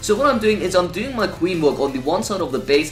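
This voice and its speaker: A man talks with lively intonation while music plays in the background. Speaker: gaming youtuber. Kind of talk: gameplay commentary. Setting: at home. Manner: quieter than usual.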